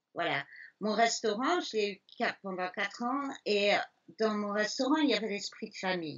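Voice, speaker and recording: Her fairly high voice makes very wide pitch swings as the woman talks at a moderate pace. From Belgium, Liège. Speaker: elephant sanctuary founder, former restaurateur. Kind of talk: interview. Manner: hesitant fillers.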